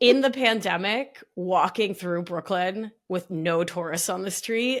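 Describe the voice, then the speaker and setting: Speaking in an American accent with an animated tone, the voice moves at a fairly slow pace with ordinary pitch variation. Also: woman, medium pitch for a woman. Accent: New York accent slipping out on certain words. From New York. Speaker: somatic life coach and nurse practitioner. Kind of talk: casual chat.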